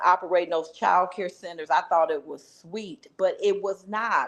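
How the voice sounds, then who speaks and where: A woman speaking at a fairly slow pace with ordinary pitch variation, against a quiet background. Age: 60s. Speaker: business director and entrepreneur. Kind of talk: casual live stream chat. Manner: animated.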